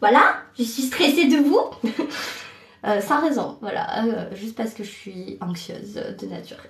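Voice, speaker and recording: Noticeable noise sits in the background. Pitch moves with ordinary variation. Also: woman. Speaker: trainee voice actress. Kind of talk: casual live stream talk. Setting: bathroom.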